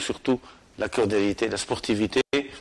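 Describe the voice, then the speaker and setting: A man at medium pitch and a fairly slow pace. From Algeria, Sétif region. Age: 60s. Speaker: football coach. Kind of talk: interview. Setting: club headquarters at the stadium. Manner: halting, many repetitions and hesitations.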